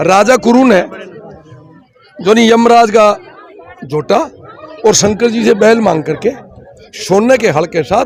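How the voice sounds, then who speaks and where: Over crowd noise in the background, a man speaks at a high pitch with ordinary pitch variation. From Haryana, Kurukshetra area. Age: 60s. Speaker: folk culture performer. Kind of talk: interview.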